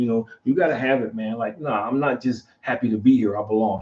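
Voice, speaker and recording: A man's somewhat breathy voice moves at a fairly quick pace, its intonation lively. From Philadelphia, US. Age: 60s. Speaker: podcast host. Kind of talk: casual talk show discussion. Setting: studio livestream. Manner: animated.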